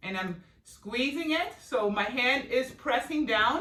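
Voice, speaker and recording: The speaker's tone is energetic and animated, with noticeable background noise behind it. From Germany. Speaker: fitness instructor. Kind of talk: live workout instruction. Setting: live video call from home studio. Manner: energetic, animated.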